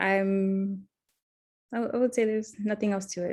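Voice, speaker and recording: On a very clean recording with a silent background, a woman with a medium pitch speaks in a South Florida accent. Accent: American, South Florida. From Miami, Florida. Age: 20s. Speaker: counseling student. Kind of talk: role-play counseling interview. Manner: hesitant, many fillers.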